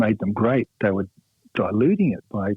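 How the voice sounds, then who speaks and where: Here a man speaks at a fairly low pitch. His pace is moderate. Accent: Australian. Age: 60s. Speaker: rock guitarist. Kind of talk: radio interview. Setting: phone call. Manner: halting, many fillers.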